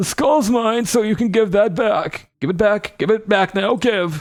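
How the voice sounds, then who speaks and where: A put-on character voice comes at a moderate pace on a very clean recording with a silent background. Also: man, high pitch for a man. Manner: territorial, demanding.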